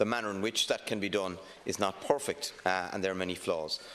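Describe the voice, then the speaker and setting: A man's fairly low voice with a Cork accent and fairly even intonation. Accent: Irish (Cork). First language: Irish. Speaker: politician. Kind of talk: parliamentary speech. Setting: parliament chamber. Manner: hesitant, many fillers.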